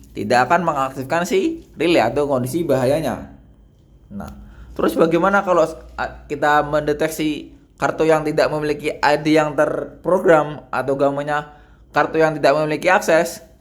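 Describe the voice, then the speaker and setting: His intonation stays fairly level and his pitch fairly high. The man speaks at a moderate speed. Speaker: university student. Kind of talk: project demonstration. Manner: soft-spoken; halting.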